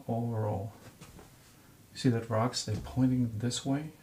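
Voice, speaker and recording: A man mumbles in a medium pitch with ordinary pitch variation. His tone is dark and mellow, and somewhat breathy. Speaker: painting teacher. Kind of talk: tutorial. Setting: studio. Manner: mumbling.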